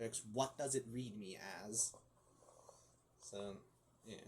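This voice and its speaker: With ordinary pitch variation, the man talks in a somewhat breathy voice. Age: 20s. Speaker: gaming YouTuber. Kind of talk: casual vlog monologue. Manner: halting, repetitive.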